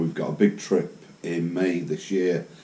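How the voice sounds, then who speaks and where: A man with a very deep, low voice speaks at a fairly slow pace. Noticeable background noise runs underneath. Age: 60s. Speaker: motorcycle vlogger. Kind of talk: casual monologue. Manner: halting, many fillers.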